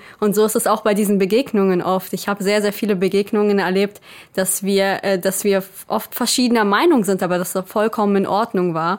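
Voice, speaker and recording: A plain, everyday voice from a woman at medium pitch, fairly quick, with fairly even intonation and very even loudness, on a very clean recording with a silent background. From Germany, grew up from age two after birth in Israel. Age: 20s. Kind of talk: interview.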